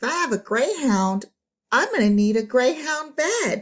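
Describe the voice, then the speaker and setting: A woman puts on a high-pitched character voice, swinging very widely in pitch at a moderate pace. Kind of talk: bedtime story. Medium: read story. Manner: polite, musing.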